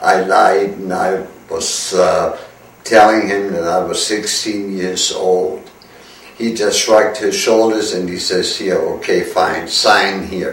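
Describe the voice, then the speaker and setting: A man speaks very slowly in a German accent. Audible room echo and noticeable background noise surround him. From Germany. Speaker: war veteran. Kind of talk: testimony. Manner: halting.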